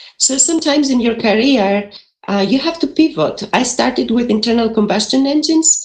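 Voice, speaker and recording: A woman with a Greek accent speaks at a fairly quick pace. Her pitch swings very widely. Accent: Greek, still noticeable. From Greece, mountain region. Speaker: engineering professor, energy institute director. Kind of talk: panel presentation. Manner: fast, many fillers.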